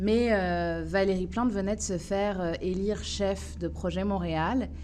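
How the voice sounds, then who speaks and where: A woman talks fairly slowly, and audible room echo hangs around her words. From France, Paris suburbs. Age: 30s. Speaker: municipal election candidate. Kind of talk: interview. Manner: hesitant, many filler sounds.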